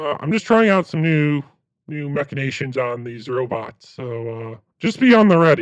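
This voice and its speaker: Pitched fairly high, a man talks in a put-on character voice. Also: moderate pace. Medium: actual play. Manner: stammering, hesitant.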